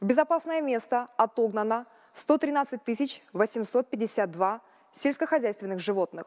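A woman speaks at a very slow pace in a fairly high pitch. The background is quiet. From Kazakhstan. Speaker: ministry spokesperson. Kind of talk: official briefing. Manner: formal. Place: hall.

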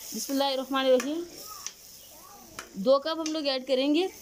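A woman's high, slightly mellow voice at a moderate pace, with fairly even intonation and faint background noise

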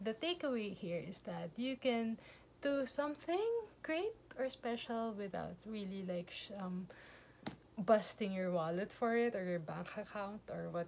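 A woman speaks at a medium pitch with a slightly mellow tone. Her pace is fairly slow, with ordinary pitch variation.

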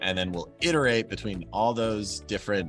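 A man speaks at a moderate pace, his pitch fairly low. Faint music plays in the background. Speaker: guest. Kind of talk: interview answer. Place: office. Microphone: video call.

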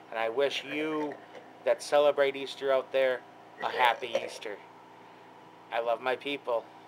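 A man speaks at a moderate pace in a flat, monotone delivery, with long, frequent pauses and noticeable background noise. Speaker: vlogger. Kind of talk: casual talk to camera. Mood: warm, friendly. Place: home room. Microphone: webcam.

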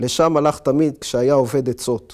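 A man's fairly high voice at a fairly slow pace, with fairly even intonation, over a quiet background. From Israel. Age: 40s. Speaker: author. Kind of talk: reading aloud; interview monologue. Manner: hesitant with fillers. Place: home room. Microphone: lapel.

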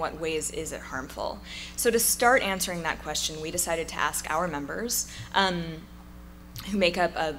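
A woman talks at a fairly quick pace over light background noise. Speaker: speaker. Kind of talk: conference talk. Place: hall. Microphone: podium.

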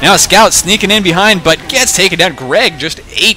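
Background noise is clearly present. A man does the talking. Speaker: esports shoutcaster. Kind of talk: live commentary. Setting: home recording at apartment. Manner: animated.

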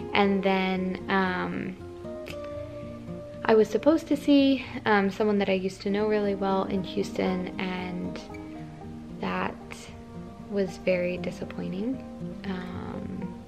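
With clear music in the background, a woman speaks at a very slow pace, leaving long, frequent pauses. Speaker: vlogger. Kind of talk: casual vlog chat. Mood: calm, a bit subdued. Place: home room. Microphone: phone near.

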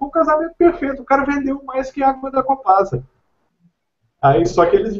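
A man with an extremely high pitch and lively intonation, with long, frequent pauses and a quiet background. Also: fairly quick pace. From Belo Horizonte, Minas Gerais, Brazil. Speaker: IT professional and content writer; online course teacher. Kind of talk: casual group video call. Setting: video call. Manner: repeats words, stammering. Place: home room.

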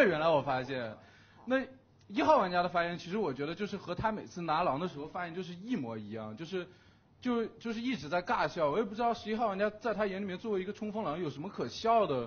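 A man speaks at a fairly quick clip, his pitch swinging very widely. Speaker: werewolf game player. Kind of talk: game argument speech. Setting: studio. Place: studio. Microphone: headset.

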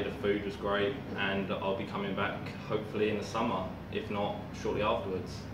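A man against noticeable background noise. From Essex, England. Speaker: martial arts camp guest. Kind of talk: testimonial talk to camera. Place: gym. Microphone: camera far.

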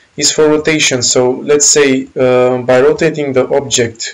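A man with a Romanian accent and fairly even intonation. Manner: casual, explanatory walkthrough with filler phrases.

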